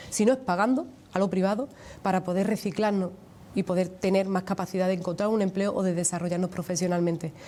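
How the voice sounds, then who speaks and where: A woman talks very fast at medium pitch. Her tone is dark and mellow, with fairly even intonation. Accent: Andalusian. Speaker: trade union leader. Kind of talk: TV interview.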